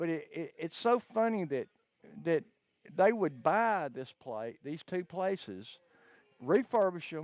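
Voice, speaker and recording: The speaker talks in a Southern US accent at a fairly slow pace. Long pauses come often. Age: 60s. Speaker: caller. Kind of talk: casual chat.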